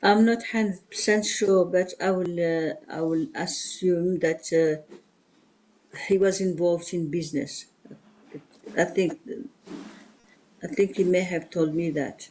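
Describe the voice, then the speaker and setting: The speaker has a French accent and talks at a fairly slow pace. Long, frequent pauses run through the speech. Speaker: witness at inquest. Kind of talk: witness testimony. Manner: halting.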